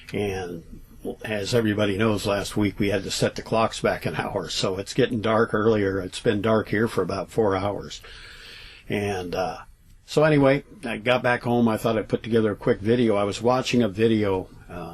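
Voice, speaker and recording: The man has a fairly low pitch, ordinary pitch variation, and a moderate pace. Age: 60s. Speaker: vlogger telling paranormal stories. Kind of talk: casual storytelling vlog. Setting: travel trailer at home. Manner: hesitant, many fillers.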